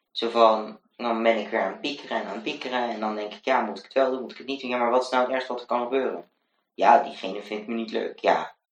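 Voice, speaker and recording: A man speaks at a very fast pace with a medium pitch. His loudness swings widely while his intonation stays fairly even. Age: 20s. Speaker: student teacher and blogger. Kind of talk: casual interview chat. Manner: hesitant, many fillers.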